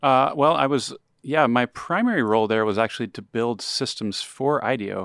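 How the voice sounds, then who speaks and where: A man with an American accent speaks at a moderate pace and a medium pitch with ordinary pitch variation, in a normal speaking voice. The recording is very clean and silent in the background, dry and close with no echo. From Texas. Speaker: tech startup founder. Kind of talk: interview.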